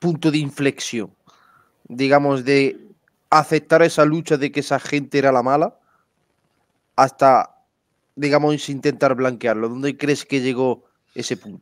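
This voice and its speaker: A fairly high-pitched man speaks fairly slowly, with fairly even intonation and long, frequent pauses. The sound is dry with no echo over a quiet background. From Spain. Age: 30s. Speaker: podcast host. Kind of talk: interview. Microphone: headset.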